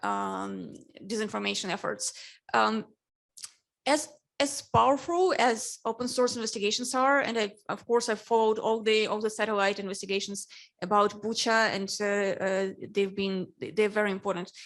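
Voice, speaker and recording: Her Russian accent comes through as she speaks at a moderate pace. The woman's voice is fairly high, with ordinary pitch variation. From Ukraine. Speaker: newspaper editor on a panel. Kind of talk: panel discussion.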